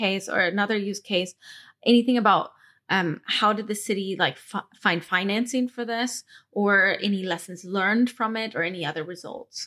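In a very clean recording with a silent background, a woman with a plain, everyday voice speaks at a medium pitch and a moderate pace, her intonation fairly even. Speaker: podcast host. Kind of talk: casual interview. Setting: event interview.

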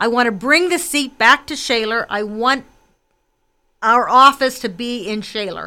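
A high-pitched woman with a Western Pennsylvania accent, a bright, sharp tone, a fairly slow pace and big swings in loudness. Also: ordinary pitch variation, very clean recording, silent background. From McKees Rocks, Pittsburgh area, Pennsylvania. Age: 60s. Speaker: political candidate. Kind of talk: radio interview. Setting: radio studio.

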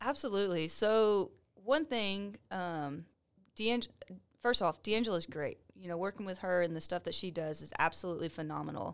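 A woman with a plain, everyday voice talks at a moderate pace and medium pitch, her intonation lively. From Texas. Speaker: police officer. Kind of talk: casual chat.

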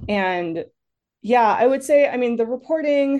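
A woman speaks in an American accent with a dark, mellow tone and very wide pitch swings. Her pace is moderate over a quiet background. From Massachusetts. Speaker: environmental journalist and author. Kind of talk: interview.

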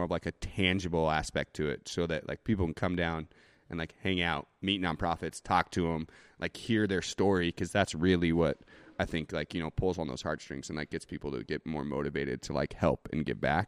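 A man speaks with very deep, low pitch and vocal fry in a Northwestern US accent. The recording is very clean, with a silent background. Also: dry, close sound with no echo. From Idaho, US (Boise). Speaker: brewery owner. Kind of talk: casual interview.

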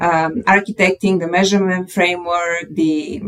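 Moderate, fairly even speech from a woman at medium pitch, with noticeable background noise. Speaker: podcast co-host. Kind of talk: podcast interview.

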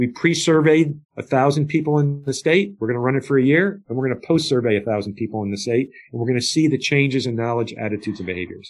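Hardly pausing, a man races along at a very fast pace with lively intonation and a medium pitch. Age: 60s. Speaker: addiction advocate and nonprofit founder. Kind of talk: interview.

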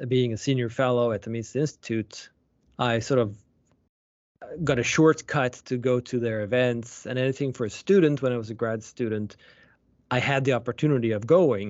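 A man talks at a moderate pace with a Swedish accent. His pitch is medium and his intonation fairly even. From Sweden. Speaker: economics professor. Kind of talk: interview.

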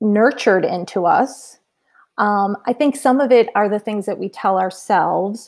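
Speaking at a fairly slow pace, a woman has a normal speaking voice, fairly high in pitch, with ordinary pitch variation. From Massachusetts, New England. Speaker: entrepreneur and community founder. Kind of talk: podcast interview.

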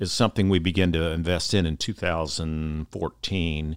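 A man speaks at a fairly slow pace, his voice dry and close with no echo. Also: very clean recording, silent background. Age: 60s. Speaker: nonprofit foundation CEO, retiring. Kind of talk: casual interview conversation. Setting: studio.

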